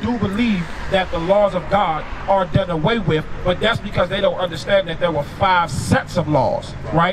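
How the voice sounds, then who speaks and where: A high-pitched man at a moderate pace, with ordinary pitch variation and noticeable background noise. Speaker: street preacher. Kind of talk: street sermon. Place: street. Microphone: handheld.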